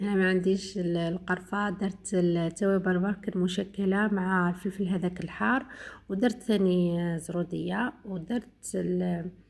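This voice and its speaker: Recorded very cleanly against a silent background, a woman talks fairly slowly at a medium pitch, somewhat breathy and with fairly even intonation. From eastern Algeria. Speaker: home cooking vlogger. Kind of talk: cooking tutorial narration. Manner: halting, many fillers.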